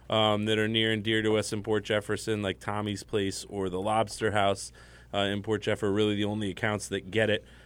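This man speaks at a fairly quick pace with a fairly low pitch. His intonation is monotone and flat. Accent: American. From Connecticut. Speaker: brewery owner. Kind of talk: casual chat. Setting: studio.

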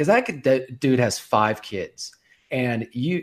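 Lively in intonation, a man speaks at a medium pitch in an unremarkable speaking voice. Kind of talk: casual chat.

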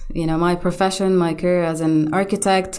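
This woman speaks with an Arabic accent. Her pitch is medium. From Gaza, Palestine. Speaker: architect turned web developer. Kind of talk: interview.

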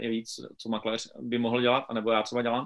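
A man rattles off words at a very fast pace in a medium-pitched, flat, monotone voice. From Wallachia region, eastern Moravia (Czechia). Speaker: real estate agent. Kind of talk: interview.

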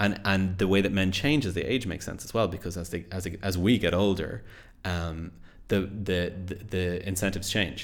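A man speaks with a Dublin accent. His pitch is very deep and low. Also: fairly even intonation, moderate pace. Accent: Irish (Dublin). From Ireland, Dublin area. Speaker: podcast co-host. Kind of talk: casual chat. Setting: home studio.

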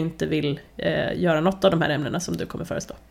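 Very fast and fairly low-pitched, a woman's voice carries vocal fry. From Värmland, Sweden. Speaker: podcast host, journalist. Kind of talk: casual chat.

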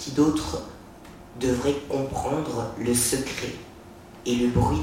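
Over noticeable background noise, a man speaks very slowly in a medium-pitched, theatrical tone. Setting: bookshop reading in front of an audience. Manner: theatrical, sensual and mocking, shifting between taunting and tender.

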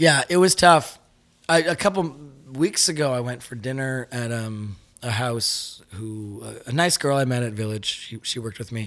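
This man has a normal speaking voice at medium pitch and a moderate pace. His intonation is lively, and his loudness swings widely. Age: 30s. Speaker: musician. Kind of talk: casual chat.

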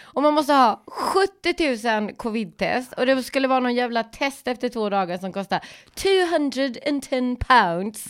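High-pitched with very wide pitch swings, a woman speaks at a fairly slow pace in a very clean recording with a silent background. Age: 40s. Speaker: podcast host. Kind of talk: casual chat.

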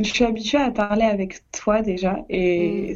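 A woman talks at medium pitch, keeping her intonation fairly even. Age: 20s. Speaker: podcast co-host, law student. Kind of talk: casual chat.

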